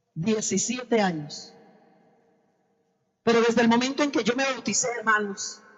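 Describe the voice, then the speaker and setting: A woman's fairly high, fairly slow voice with ordinary pitch variation, long, frequent pauses and audible room echo. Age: 60s. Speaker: preacher. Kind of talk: sermon.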